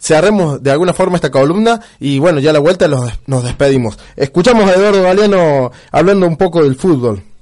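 An ordinary speaking voice with lively intonation, a fairly quick pace and very even loudness. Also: man, fairly high pitch for a man. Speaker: internet radio host. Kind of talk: casual radio chat.

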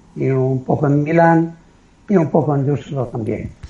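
At a fairly slow pace, a man speaks at a fairly high pitch in a somewhat breathy, dark, mellow tone with ordinary pitch variation. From Italy (Liguria, near San Remo). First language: Italian (speaking Spanish). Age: 70s. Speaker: retired amateur endurance athlete. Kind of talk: interview.

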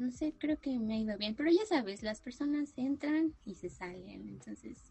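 A somewhat breathy woman speaks at a fairly slow pace with lively intonation. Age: 20s. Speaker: university student and environmental advocate. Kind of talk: casual interview chat.

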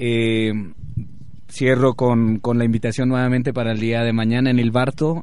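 Fairly slow and with fairly even intonation, a man talks. His pitch sits in the medium range. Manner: halting, filler-heavy.

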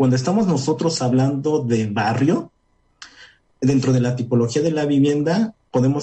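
Somewhat breathy and dark, mellow in tone, a man speaks at medium pitch and a moderate pace with ordinary pitch variation. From Puebla, Mexico. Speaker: urban studies researcher. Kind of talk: radio interview.

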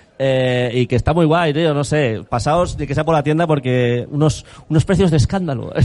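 Here a man has a plain, everyday voice with a fairly high pitch. He talks at a moderate pace with ordinary pitch variation. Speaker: podcast host. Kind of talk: casual chat. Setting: live event with audience.

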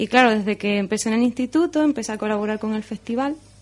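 Music plays behind a woman speaking. Her pitch is fairly high and her intonation fairly even. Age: young. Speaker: storyteller and marine biologist. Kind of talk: radio interview; storytelling performance. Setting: radio studio.

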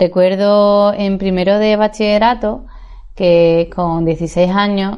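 The intonation is monotone and flat. It belongs to a woman. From Seville, Spain. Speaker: life coach and podcaster. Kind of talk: podcast monologue.

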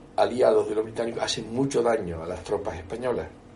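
Over noticeable background noise, a man's voice swings very widely in pitch. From Canary Islands. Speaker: historian. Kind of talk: interview. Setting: bookshop.

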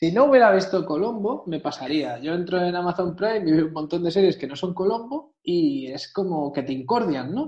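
At a moderate pace with hardly any pauses, the voice moves through very wide pitch swings. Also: man. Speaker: podcast co-host. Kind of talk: casual chat.

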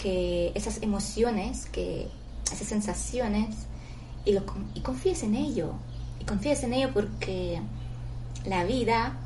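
Audible room echo surrounds the speaker. The delivery is very slow. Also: woman. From outside Spain, moved to Spain to study. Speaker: meditation guide. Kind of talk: guided meditation. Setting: live stream. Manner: halting.

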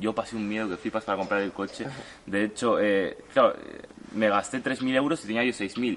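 A man at a fairly low pitch with ordinary pitch variation, talking at a fairly quick pace over noticeable background noise. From Uruguay, raised in Spain from childhood. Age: 20s. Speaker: young online seller / entrepreneur. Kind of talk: interview, casual storytelling. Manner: hesitant, many fillers.

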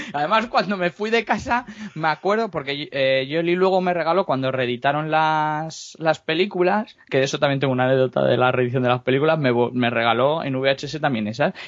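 A man speaks at a fairly quick pace with hardly any pauses, his fairly high voice carrying lively intonation in an unremarkable speaking voice. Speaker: comics co-host. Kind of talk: casual chat.

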